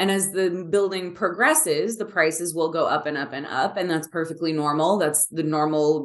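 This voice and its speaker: Against a quiet background, a woman with a fairly low pitch speaks at a moderate pace. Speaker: travel and relocation editor hosting podcast. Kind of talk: casual conversational podcast chat. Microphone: video call.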